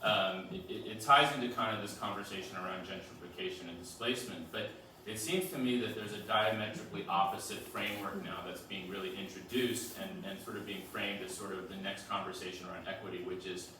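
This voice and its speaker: Through noticeable background noise and audible room echo, a man with a fairly low pitch and ordinary pitch variation speaks very fast with hardly any pauses. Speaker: audience member asking a question. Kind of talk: audience Q&A at a book talk. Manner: halting, many fillers and repetitions.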